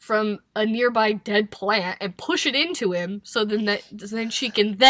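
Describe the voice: Someone gives a plain reading aloud, the intonation fairly even throughout.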